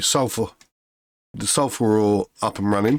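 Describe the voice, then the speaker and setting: A man with a British accent talks at a fairly low pitch and a fairly slow pace. His intonation is fairly even, and the sound is dry and close with no echo. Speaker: gaming video creator. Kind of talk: gameplay commentary. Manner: halting, many fillers.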